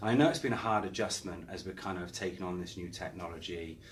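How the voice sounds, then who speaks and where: A man with an English accent, very deep, low pitch, a somewhat breathy voice, ordinary pitch variation and a fairly quick pace, with audible room echo. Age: 40s. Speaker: property marketing director. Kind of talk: interview.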